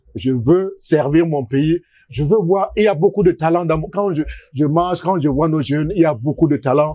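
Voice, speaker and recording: A man speaks at a moderate pace with ordinary pitch variation. His is an unremarkable speaking voice. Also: fairly high pitch for a man. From Cameroon, Douala and Sanaga-Maritime. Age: 60s. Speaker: economist and political candidate. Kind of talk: interview.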